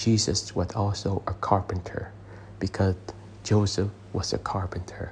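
A man speaks at a fairly slow pace in a fairly low, somewhat breathy voice. His intonation stays monotone and flat. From abroad, immigrated to the US as a child. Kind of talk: sermon. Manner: hesitant, with frequent fillers.

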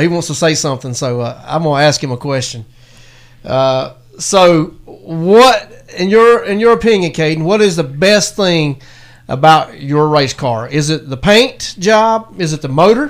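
In a normal speaking voice, the man's fairly high pitch carries lively intonation at a moderate pace. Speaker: radio host. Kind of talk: live radio show chat.

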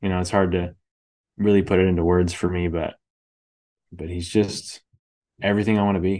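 Against a quiet background, a man with a Californian accent speaks fairly quickly in a very deep, low, monotone, flat voice, broken by long, frequent pauses. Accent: Californian American English. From Northern California, Bay Area. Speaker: missionary podcaster and author. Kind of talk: interview conversation.

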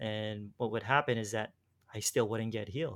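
A man's fairly low, ordinary speaking voice at a moderate pace, with fairly even intonation. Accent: American. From US, Los Angeles. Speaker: former preacher and faith healer. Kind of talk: interview conversation. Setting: remote call. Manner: casual, laughs often.

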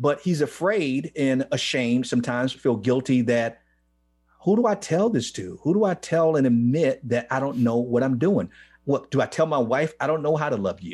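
With an American accent, a man talks at a moderate pace in an ordinary speaking voice, medium in pitch with lively intonation, over a quiet background. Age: 50s. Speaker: ministry leader. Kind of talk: interview.

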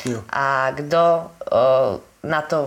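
Over noticeable background noise, a woman speaks with a very deep, low pitch. Her intonation is monotone and flat. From western Slovakia, Holíč. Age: 20s. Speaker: life coach and entrepreneur. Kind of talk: interview.

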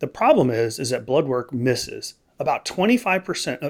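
With an American accent and a normal speaking voice, a man speaks in a fairly high pitch with lively intonation. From Texas. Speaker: allergist. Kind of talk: interview.

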